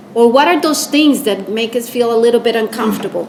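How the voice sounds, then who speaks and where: The intonation is lively. Noticeable background noise and audible room echo surround the voice. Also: woman. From Costa Rica. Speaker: public service leader, lecture speaker. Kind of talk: lecture.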